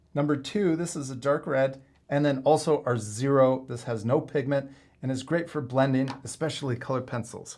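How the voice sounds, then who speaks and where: Here a man talks at a medium pitch and a moderate pace, his intonation fairly even, in an unremarkable speaking voice. The recording is very clean, with a silent background. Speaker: art teacher. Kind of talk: tutorial.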